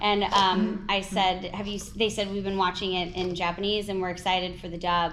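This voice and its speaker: Her pitch is fairly low for a woman, and she talks at a moderate pace. Noticeable background noise is present. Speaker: voice actor. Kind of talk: interview answer. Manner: casual, chatty.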